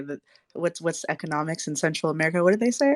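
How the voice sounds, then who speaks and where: A woman talks at a very fast pace with a fairly low pitch. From Panama. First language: Spanish. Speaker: podcast host. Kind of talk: casual interview chat.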